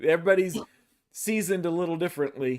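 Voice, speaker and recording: A man with a Texas accent, moderate pace and ordinary pitch variation. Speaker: podcast host. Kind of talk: interview. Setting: live online stream.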